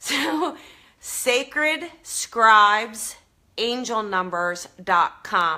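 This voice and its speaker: A woman with a New Jersey accent, a fairly high, bright and sharp voice, very wide pitch swings, and a very slow pace. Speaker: psychic medium, show host. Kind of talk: live stream chat with viewers. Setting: live video stream. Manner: casual, enthusiastic.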